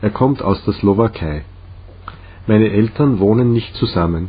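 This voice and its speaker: A somewhat breathy man with a Czech accent, fairly low in pitch, at a fairly slow pace. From Czech Republic, Litvínov. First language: Czech (speaking German). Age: 30s. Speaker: language learner. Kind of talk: reading aloud.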